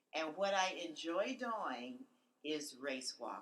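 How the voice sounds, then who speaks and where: Her intonation lively, a woman speaks at a fairly low pitch. She has a plain, everyday voice. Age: 60s. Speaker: retired author and race walker. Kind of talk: podcast interview.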